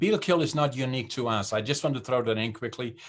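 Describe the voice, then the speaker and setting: A man with a Dutch accent is heard in a very clean recording with a silent background. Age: 70s. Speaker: business founder and CEO. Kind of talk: interview. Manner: halting, many fillers.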